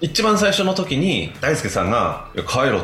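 There is music in the background as a man speaks, with audible room echo. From Japan, Chiba. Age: 40s. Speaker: sports chiropractor and team trainer. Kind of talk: radio interview.

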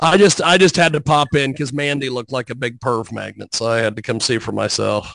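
A man's medium-pitched voice with vocal fry, a fairly quick pace and hardly any pauses. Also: ordinary pitch variation. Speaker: show regular. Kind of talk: casual chat. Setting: video call. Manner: halting.

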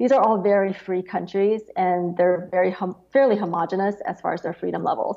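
In an American accent, a woman with a normal speaking voice talks at a fairly quick pace and medium pitch, with ordinary pitch variation and hardly any pauses. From Beijing, China, then the US. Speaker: index founder, former wealth advisor. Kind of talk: interview.

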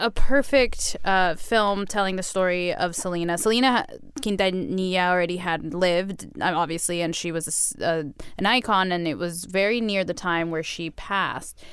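A woman's normal speaking voice at a moderate pace, medium in pitch with ordinary pitch variation. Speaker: podcast host. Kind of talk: casual interview.

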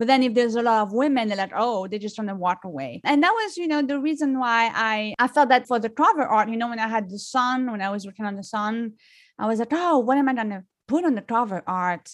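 A woman speaks at a fairly quick pace with a fairly high pitch and lively intonation. The recording is very clean, with a silent background. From France. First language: French. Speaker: singer-songwriter. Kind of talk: casual interview.

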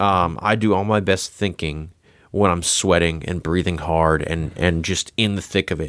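The recording is very clean, with a silent background. Delivery moves at a moderate pace with fairly even intonation. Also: man, very deep, low pitch for a man. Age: 30s. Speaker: touring drummer. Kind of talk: casual interview chat.

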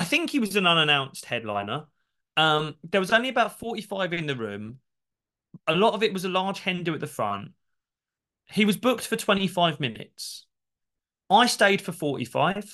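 A man's high pitch and bright, sharp tone, with very wide pitch swings, a moderate pace and long, frequent pauses, against a quiet background. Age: 30s. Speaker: stand-up comedian. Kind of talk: casual chat.

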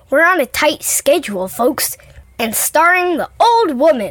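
This is a put-on character voice with very wide pitch swings. The sound is dry and close, with no echo. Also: woman, high pitch for a woman, moderate pace. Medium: audio drama. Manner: brisk, matter-of-fact, impatient.

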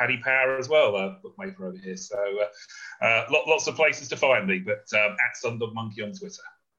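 Very fast speech comes from a man with a British accent and ordinary pitch variation. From Britain. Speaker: golf betting analyst. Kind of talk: casual chat.

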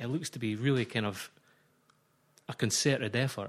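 A very clean recording with a silent background, at a moderate pace. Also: man. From Scotland. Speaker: football journalist. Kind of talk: casual chat.

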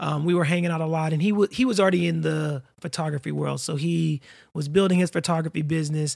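A man with an American accent and a fairly high pitch talks at a fairly quick pace with fairly even intonation. The recording is very clean, with a silent background. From Florida. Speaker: accountant and podcaster. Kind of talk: casual chat.

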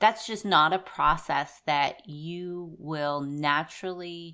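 A woman with an American accent speaks very slowly in a bright, sharp tone with fairly even intonation. The recording is very clean, with a silent background. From Southwest Pennsylvania. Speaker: podcast co-host. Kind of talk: casual chat.

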